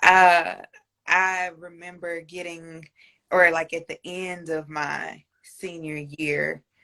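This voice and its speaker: A woman speaks at a very slow pace with a fairly low pitch. Her intonation is monotone and flat, and her tone is bright and sharp. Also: big swings in loudness. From Louisiana. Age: 20s. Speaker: sneaker enthusiast, interview guest. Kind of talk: casual interview chat. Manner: hesitant, many fillers.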